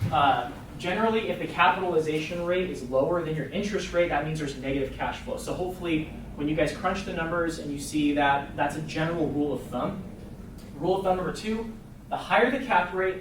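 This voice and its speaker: With noticeable background noise and audible room echo, a man talks at a fairly quick pace in a fairly high pitch, with ordinary pitch variation. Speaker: real estate investor presenting to agents. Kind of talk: presentation to a group. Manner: fast; casual, filler-heavy.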